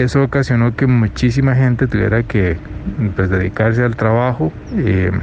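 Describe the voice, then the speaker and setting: Over noticeable background noise, a man speaks at a medium pitch and moderate pace. His pitch varies in an ordinary way and his loudness stays very even. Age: young. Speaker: economist. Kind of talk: interview.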